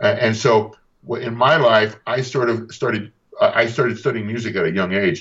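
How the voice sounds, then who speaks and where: This man's voice sits at a medium pitch and shifts in an ordinary way. He keeps a moderate pace. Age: 50s. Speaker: educator and musician. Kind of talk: interview. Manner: animated.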